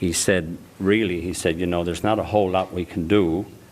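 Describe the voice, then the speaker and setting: A man with a very deep, low voice speaks with fairly even intonation over noticeable background noise. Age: 70s. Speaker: chronic pain support group member. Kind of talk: radio interview.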